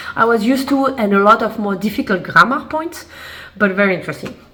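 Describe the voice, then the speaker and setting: The intonation is lively and the pace fairly quick. Noticeable background noise sits under the speech. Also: woman. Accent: French. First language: French. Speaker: lifestyle vlogger. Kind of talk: casual haul video. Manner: casual, hesitant with fillers.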